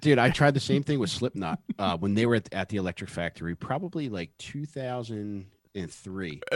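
On a very clean recording with a silent background, a man with a Philadelphia accent speaks at a moderate pace in a fairly low pitch, making very wide pitch swings. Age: 40s. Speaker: podcast co-host. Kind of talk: casual chat.

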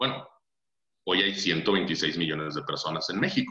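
A man is talking. His voice has a bright, sharp tone. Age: 30s. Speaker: financial advisor. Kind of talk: casual interview. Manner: halting, many fillers and repetitions.

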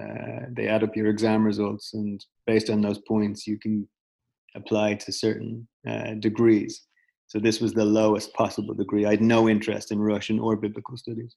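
This man has a fairly low voice and a Dublin accent. His intonation is monotone and flat, and he keeps a moderate pace. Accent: Irish (Dublin). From Ireland, Dublin. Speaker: startup founder, former photographer. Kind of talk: casual interview. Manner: halting, many fillers.

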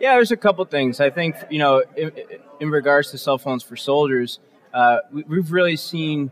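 In an ordinary speaking voice, a man talks at a moderate pace with ordinary pitch variation, the sound dry and close with no echo. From Massachusetts South Shore (Norwell). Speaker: nonprofit co-founder. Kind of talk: interview. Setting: conference expo floor with audience.

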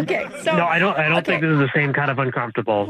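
Over noticeable background noise, a man talks at a fairly high pitch with ordinary pitch variation and very even loudness. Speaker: prank call recipient, expectant father. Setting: phone. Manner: flustered, increasingly uncomfortable.

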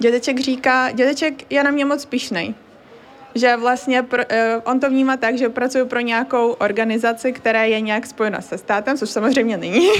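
Her high-pitched voice moves with fairly even intonation as this woman speaks. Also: moderate pace. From Crimea, Ukraine. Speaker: university student. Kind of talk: interview.

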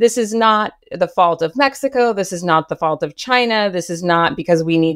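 A woman with an American accent speaks at a moderate pace with a fairly low pitch and ordinary pitch variation, in a very clean recording with a silent background and a dry, close sound with no echo. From US, Los Angeles area. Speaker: memoir author in addiction recovery. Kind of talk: podcast interview, personal testimony. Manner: frequent laughter and filler words.

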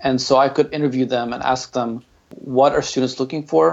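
Talking at a fairly quick pace with an American accent, a man has a normal speaking voice and a fairly high pitch. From Ukraine, then San Antonio, Texas. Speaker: marketing director and software developer. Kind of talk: interview.

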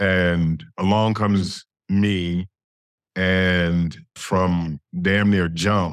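A man with an American accent speaks at a very deep, low pitch, his intonation fairly even and his speech broken by long, frequent pauses. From Gary, Indiana, US Midwest. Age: 50s. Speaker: TV writer and showrunner. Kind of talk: interview.

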